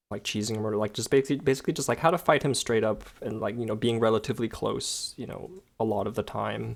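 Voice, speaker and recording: With hardly any pauses, a man rattles along at a very fast pace, his voice showing vocal fry and ordinary pitch variation on a very clean recording with a silent background. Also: medium pitch for a man. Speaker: video game guide maker. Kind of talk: gameplay tutorial commentary. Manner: casual, hesitant with fillers.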